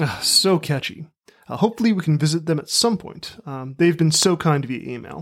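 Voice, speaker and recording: An unremarkable speaking voice at a moderate pace, with ordinary pitch variation and big swings in loudness. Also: man, fairly high pitch for a man. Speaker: podcast host. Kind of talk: casual chat. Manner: playful.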